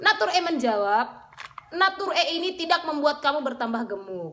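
A raised, projected voice with a bright, sharp tone makes very wide pitch swings. The tone is animated throughout. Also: woman. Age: 30s. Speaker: beauty vlogger. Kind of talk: casual vlog monologue. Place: home room. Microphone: phone near.

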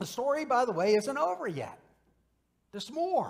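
A man with very wide pitch swings keeps a moderate pace, and the setting is quiet. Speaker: minister preaching. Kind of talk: sermon. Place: church. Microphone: podium.

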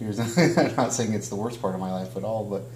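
A man speaks with audible room echo and light background noise behind him. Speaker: interview guest. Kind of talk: interview answer. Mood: reflective. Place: home room.

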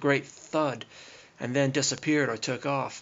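A man's fairly high pitch comes through in a normal speaking voice at a moderate pace. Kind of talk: documentary narration over screen recording.

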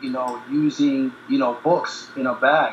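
Light background noise and audible room echo surround a man speaking with ordinary pitch variation. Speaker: guest. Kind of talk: interview answer. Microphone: video call.

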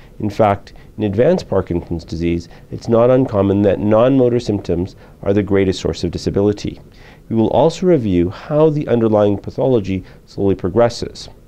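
The voice has a dark, mellow tone, a fairly quick pace, and ordinary pitch variation. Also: man, fairly low pitch for a man. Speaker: presenter. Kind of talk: medical lecture presentation. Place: studio. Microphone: lapel.

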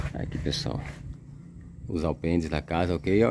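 A man speaks at a moderate pace. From Sergipe, Brazil. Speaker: YouTuber showing property for sale. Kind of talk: property tour vlog. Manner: animated.

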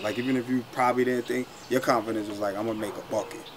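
This man has an American accent and a medium pitch, with light background noise behind him. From New York. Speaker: former college basketball player; host or former teammate in round-table talk. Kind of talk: casual chat. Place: garden. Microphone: camera far.

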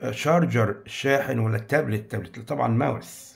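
A man's voice with lively intonation and vocal fry. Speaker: English teacher. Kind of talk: tutorial.

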